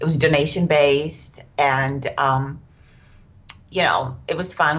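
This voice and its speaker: In a Czech accent, a woman speaks very slowly with a very deep, low pitch, fairly even intonation and a somewhat breathy sound. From Czech Republic. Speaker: yoga teacher. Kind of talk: podcast interview. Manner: hesitant, many fillers.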